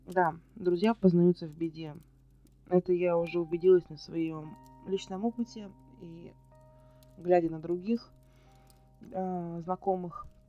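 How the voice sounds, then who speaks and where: Over background music, the speech comes very slowly with long, frequent pauses, fairly even intonation and big swings in loudness. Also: woman. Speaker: vlogger. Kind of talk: casual talk to camera, Q&A vlog.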